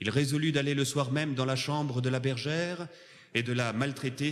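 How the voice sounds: Intonation stays fairly even as the passage is delivered in a natural reading voice.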